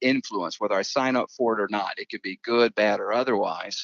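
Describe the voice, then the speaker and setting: With an American accent, a man talks at a fairly quick pace and a medium pitch. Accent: Southern US, kept under control. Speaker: pastor. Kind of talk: podcast interview. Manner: relaxed, conversational.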